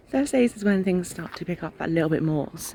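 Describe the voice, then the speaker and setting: Soft-spoken and very low in pitch, a woman with an English accent talks very fast with lively intonation. Background noise is noticeable. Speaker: travel vlogger. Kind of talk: casual vlog to camera. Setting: outdoors at a festival campsite.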